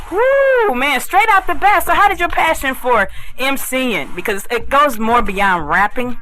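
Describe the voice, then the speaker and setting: A woman projects her high-pitched voice at a moderate pace, her pitch swinging very widely. Noticeable background noise is present. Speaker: radio host. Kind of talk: casual chat.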